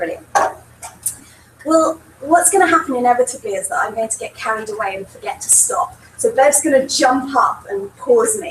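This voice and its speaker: At a moderate pace and a high pitch, a woman speaks with very wide pitch swings and big swings in loudness over noticeable background noise. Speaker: professor. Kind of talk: lecture.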